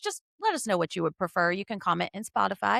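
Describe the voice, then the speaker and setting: A woman speaks in an animated tone in a very clean recording with a silent background and dry, close sound with no echo. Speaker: podcast host. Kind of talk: casual chat; movie synopsis narration.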